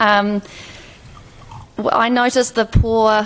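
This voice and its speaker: A woman speaks with a New Zealand accent over noticeable background noise. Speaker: health policy expert, former fellow. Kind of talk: panel presentation. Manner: slow; hesitant, with fillers.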